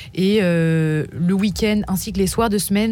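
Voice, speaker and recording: A woman's normal speaking voice at medium pitch, with ordinary pitch variation. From Paris region, France. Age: 20s. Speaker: student volunteer. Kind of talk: radio interview. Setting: studio.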